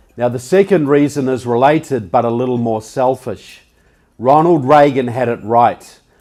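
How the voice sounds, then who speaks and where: At a moderate pace, a man with a New Zealand accent talks at a medium pitch with a dark, mellow tone and ordinary pitch variation. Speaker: public speaker and author. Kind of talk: public speech. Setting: stage with audience.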